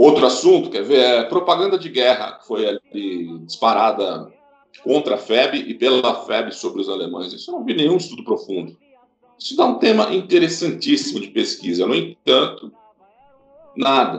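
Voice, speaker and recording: A man with a São Paulo accent speaks at a moderate pace, breaking it up with long, frequent pauses. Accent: Brazilian Portuguese, São Paulo (paulistano). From São Paulo, Brazil. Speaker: history professor. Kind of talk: interview. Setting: video call.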